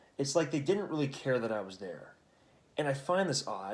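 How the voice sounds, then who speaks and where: A quiet man with very wide pitch swings. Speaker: vlogger. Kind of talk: casual chat. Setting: at home at night. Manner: hushed.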